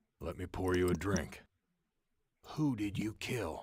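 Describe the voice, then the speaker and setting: A man's put-on character voice, growling and very deep, at a fairly slow pace. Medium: video game.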